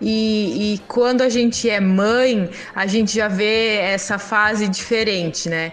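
A woman speaks at a very slow pace in a fairly high pitch with fairly even intonation. Audible room echo and noticeable background noise surround her voice. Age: 30s. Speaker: single mother and pedagogy student. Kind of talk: casual interview testimony.

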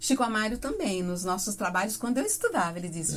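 This woman's voice is somewhat breathy. Her intonation is lively. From Paraná, Brazil (Mamborê, near Campo Mourão). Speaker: radio announcer and singer. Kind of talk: casual interview. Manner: talkative.

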